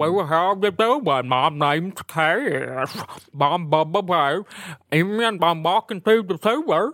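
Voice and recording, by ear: In a put-on character voice, a man speaks very slowly at a high pitch.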